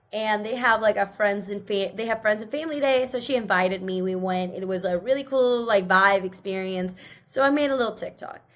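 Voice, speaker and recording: In an American accent, the voice moves at a fairly quick pace with hardly any pauses and ordinary pitch variation. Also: woman, fairly high pitch for a woman. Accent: sounds American, some words mispronounced. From US Pacific Northwest, Seattle. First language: not English. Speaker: podcast co-host. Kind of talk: casual chat. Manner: filler-heavy, lots of 'like' and 'um'.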